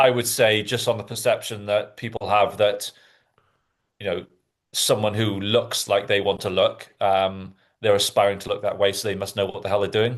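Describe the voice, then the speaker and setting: A man with a slight Welsh accent against a quiet background. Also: moderate pace. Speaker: fitness podcast host. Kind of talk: casual chat.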